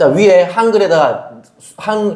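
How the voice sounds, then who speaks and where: Audible room echo surrounds a man talking at a high pitch. His pace is very slow. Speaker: math tutor. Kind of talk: tutoring lesson. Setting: classroom at math academy, recorded. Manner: casual, informal.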